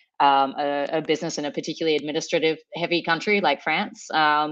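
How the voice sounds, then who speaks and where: At a very fast pace, the speaker talks in an Australian accent with ordinary pitch variation against a quiet background. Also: woman. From Sydney, Australia. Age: 30s. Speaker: startup founder. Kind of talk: podcast interview.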